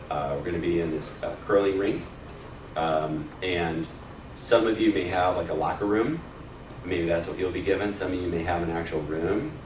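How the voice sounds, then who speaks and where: A man with a very deep, low pitch and ordinary pitch variation, with audible room echo and noticeable background noise. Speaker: church volunteer trainer. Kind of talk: training session. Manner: loud; hesitant, many fillers.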